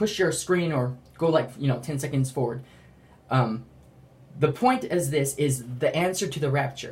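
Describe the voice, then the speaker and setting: Pausing long and often, a man talks in a fairly high, somewhat breathy voice with ordinary pitch variation. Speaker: religious vlogger. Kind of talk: testimony. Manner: fast; halting.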